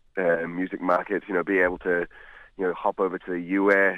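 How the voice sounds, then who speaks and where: With a New Zealand accent, the man speaks at a fairly quick pace in a very deep, low pitch and a monotone, flat intonation. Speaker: blues musician. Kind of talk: phone interview. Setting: outdoors. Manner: casual, many fillers. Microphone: phone line, bad cell reception.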